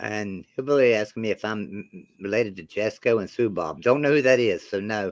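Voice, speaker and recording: A man with a strong West Virginia accent talks at a fairly quick pace with hardly any pauses, his fairly low voice showing ordinary pitch variation and big swings in loudness. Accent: thick West Virginia country. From Roanoke, Virginia and Beckley, West Virginia. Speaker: sports channel host. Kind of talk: casual live-stream chat.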